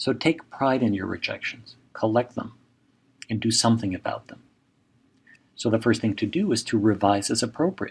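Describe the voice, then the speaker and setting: A man speaks at a moderate pace in a medium pitch, somewhat breathy, with ordinary pitch variation and long, frequent pauses against a quiet background. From Mexico. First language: Spanish. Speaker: professor. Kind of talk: lecture.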